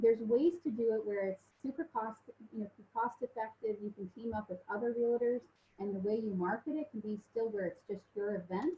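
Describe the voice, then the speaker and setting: A woman with a somewhat breathy, fairly high voice speaks at a fairly quick pace, her pitch varying in an ordinary way. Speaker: mortgage lender. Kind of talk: webinar presentation. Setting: online webinar. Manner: fast; hesitant with many fillers.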